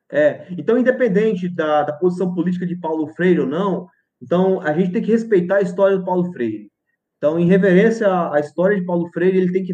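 A man talks at a very fast pace in a high pitch. His tone is dark and mellow. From Brazil, Goiás. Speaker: physics professor. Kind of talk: lecture.

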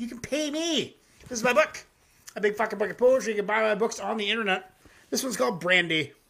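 The voice is raised and projected, bright and sharp in tone, moving at a fairly quick pace broken by long, frequent pauses. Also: man. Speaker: music reaction livestream host. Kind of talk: casual livestream commentary. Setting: live YouTube stream. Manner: loud, yelling at times.

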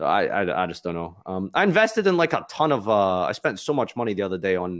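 Very fast speech with lively intonation in a Glaswegian accent, over a quiet background. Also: man. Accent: Glaswegian Scottish. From Scotland, Glasgow. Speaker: YouTuber and streamer. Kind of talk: casual interview chat.

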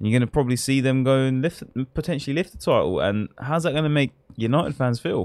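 In a dry, close sound with no echo, a man with an English accent speaks at a very fast pace, at medium pitch with ordinary pitch variation. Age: 20s. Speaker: football podcast co-host. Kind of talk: casual chat.

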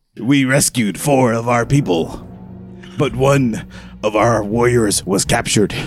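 Using a put-on character voice, a man speaks at a moderate pace and medium pitch, with long, frequent pauses and clear music in the background. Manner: brooding.

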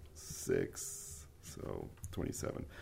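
A man speaks with vocal fry. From Mexico City. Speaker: podcast host. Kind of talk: casual chat.

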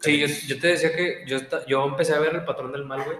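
Over noticeable background noise, a man with a fairly high pitch talks at a fairly quick pace. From Mexico, Monterrey. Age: 20s. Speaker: podcast co-host, accountant. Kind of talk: casual chat.

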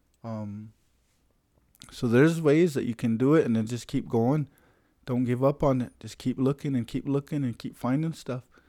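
On a very clean recording with a silent background and a dry, close sound with no echo, a man with an American accent and a dark, mellow tone speaks at a moderate pace with ordinary pitch variation. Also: medium pitch for a man. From US Plains, Lakota (Pine Ridge, South Dakota). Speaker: Lakota culture and language keeper. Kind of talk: casual interview chat.

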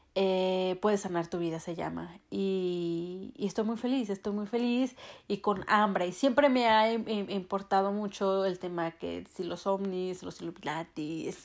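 A woman's voice at medium pitch, with ordinary pitch variation and a fairly slow pace, on a very clean recording with a silent background. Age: 30s. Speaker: spiritual podcaster. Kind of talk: casual monologue.

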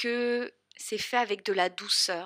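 Speaking in a bright, sharp tone, a woman has a strong southern French accent. The recording is very clean, with a silent background. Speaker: podcast host and spiritual coach. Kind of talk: solo podcast monologue.

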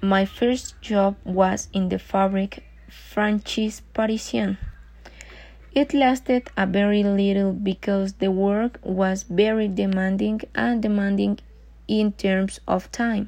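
In a Mexican accent, a woman speaks at a very slow pace and medium pitch, her tone dark, mellow and somewhat breathy, with fairly even intonation. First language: Spanish. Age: 20s. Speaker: job applicant. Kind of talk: self-introduction for job application. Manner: halting.

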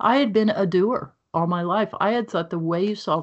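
A plain, everyday voice with an American accent, at a moderate pace. The pitch varies in an ordinary way. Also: woman. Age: 60s. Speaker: author and speaker. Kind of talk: interview conversation.

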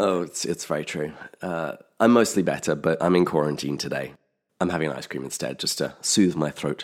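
A man uses a put-on character voice, very deep and low, hoarse and raspy. He speaks at a moderate pace on a very clean recording with a silent background.

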